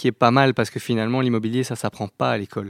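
A man with a plain, everyday voice, medium pitch, and fairly even intonation, in a very clean recording with a silent background and dry, close sound with no echo. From Belgium, Brussels. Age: 30s. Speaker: operations manager at an architecture firm. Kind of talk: interview.

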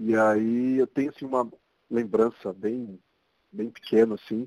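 This man has a São Paulo accent and a medium pitch. He talks at a fairly slow pace with fairly even intonation, in a dry, close sound with no echo. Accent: Paulistano Brazilian Portuguese. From São Paulo, Brazil (Zona Norte). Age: 40s. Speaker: architect. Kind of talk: interview.

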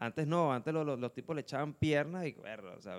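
This unremarkable speaking voice moves at a fairly quick pace with lively intonation. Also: man. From Caracas, Venezuela. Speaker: band guitarist and producer. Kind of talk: casual chat.

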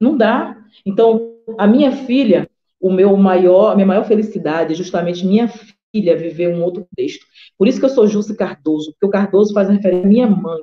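A woman speaks at a medium pitch and moderate speed, with ordinary variation in her pitch. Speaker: historian and women's rights activist, council candidate. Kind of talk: live-streamed interview, personal testimony.

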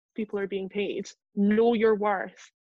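Speaking at a moderate pace, a woman with a Scottish accent keeps a medium pitch and a monotone, flat intonation. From Scotland, Lothian. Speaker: journalist. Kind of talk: casual chat.

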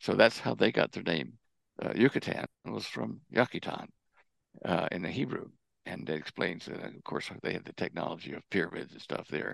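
Very deep, low male voice with an American accent, vocal fry, very wide pitch swings and big swings in loudness, at a moderate pace, in a dry, close sound with no echo. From Texas. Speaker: propulsion engineer and researcher. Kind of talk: interview. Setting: remote call.

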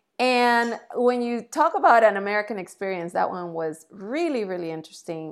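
A woman in a Spanish accent, lively intonation, in a very clean recording with a silent background. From Colombia. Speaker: entrepreneur and TV commentator. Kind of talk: interview.

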